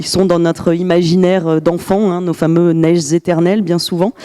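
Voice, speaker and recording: A woman speaks at a moderate pace in a fairly low pitch. The sound is dry and close with no echo, though noticeable background noise is present. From France, Grenoble. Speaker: glaciologist and university professor. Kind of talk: lecture. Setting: conference room with audience. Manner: hesitant, many fillers.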